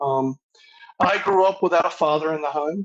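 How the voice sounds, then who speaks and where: A man with a North Carolina accent speaks at a moderate pace in a fairly high voice, his pitch varying in an ordinary way. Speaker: masonic grand master. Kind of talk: interview.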